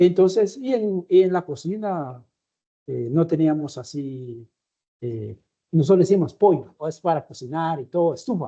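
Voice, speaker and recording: A man with a Guatemalan accent speaks at a fairly slow pace in a fairly high pitch, his dark, mellow tone carrying lively intonation over a quiet background. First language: Tz'utujil (speaking Spanish). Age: 60s. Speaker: interviewee. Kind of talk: interview. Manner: halting.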